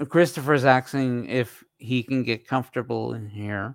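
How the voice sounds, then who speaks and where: A man speaks fairly slowly at a medium pitch, in a plain, everyday voice. The recording is very clean, with a silent background. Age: 50s. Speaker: podcast host. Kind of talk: casual chat. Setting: live stream.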